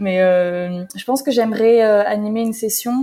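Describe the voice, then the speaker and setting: A woman with a fairly high pitch and ordinary pitch variation speaks at a fairly slow pace in an ordinary speaking voice. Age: 20s. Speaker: health media editor. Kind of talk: casual conversation.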